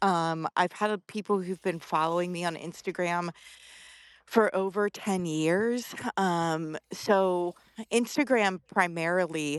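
The voice, with an American accent, moves at a very slow pace in a very clean recording, dry and close with no echo and a silent background. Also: woman, fairly low pitch for a woman, ordinary pitch variation. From Delaware, US Mid-Atlantic. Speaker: film photographer. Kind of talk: casual interview. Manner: halting, many fillers.

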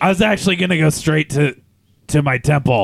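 The speaker puts on a character voice. The delivery moves at a fairly quick pace. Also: man, fairly high pitch for a man. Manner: mild, evasive, preachy.

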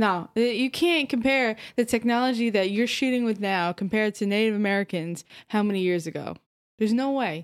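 With an ordinary speaking voice, a woman speaks at a fairly quick pace and fairly high pitch, using ordinary pitch variation. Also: very clean recording, silent background. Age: 30s. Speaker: podcast co-host. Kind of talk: casual chat.

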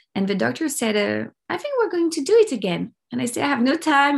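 A woman talks at a very fast pace. She has a French accent. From France, Paris. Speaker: life coach and documentary producer. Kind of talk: interview, personal story.

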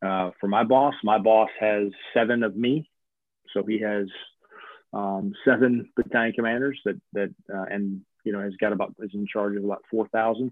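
With a slight Southern US accent, a man speaks at a moderate pace in a fairly low pitch with fairly even intonation. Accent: slight Southern twang. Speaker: army officer. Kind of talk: casual interview. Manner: formal.

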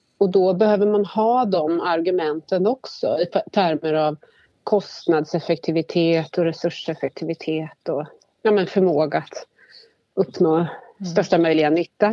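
This woman has an ordinary speaking voice with a fairly low pitch. She talks at a fairly slow pace with ordinary pitch variation. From Värmland, Sweden. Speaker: government agency manager. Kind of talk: interview. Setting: phone call.

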